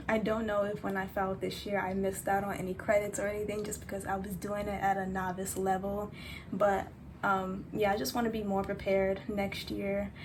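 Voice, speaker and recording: A woman talks at a medium pitch and a moderate pace. Her intonation is monotone and flat, and the room echo is audible. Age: 20s. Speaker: vlogger. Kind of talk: casual vlog talk.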